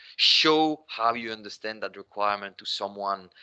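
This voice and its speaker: A man with a fairly low pitch and a bright, sharp tone talks at a fairly slow pace with ordinary pitch variation. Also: quiet background. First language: not English. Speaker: business applications consultant. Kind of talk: webinar Q&A answer. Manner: conversational, frequent fillers.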